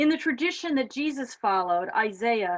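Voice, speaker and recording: A woman speaks in a normal speaking voice at a fairly high pitch. She goes at a fairly slow pace against a quiet background. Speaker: minister, preacher. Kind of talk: sermon, live church service.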